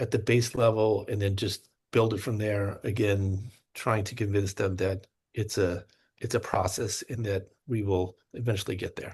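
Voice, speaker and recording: A man's fairly low, somewhat breathy voice at a moderate pace, monotone and flat, against a quiet background. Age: 50s. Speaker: teacher. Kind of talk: interview. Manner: halting.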